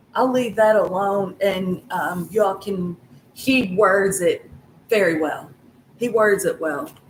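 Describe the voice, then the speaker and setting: Over noticeable background noise, a woman speaks very slowly at a medium pitch with ordinary pitch variation. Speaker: tarot reader. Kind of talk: tarot reading. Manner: halting, gets caught up on words; casual, swearing.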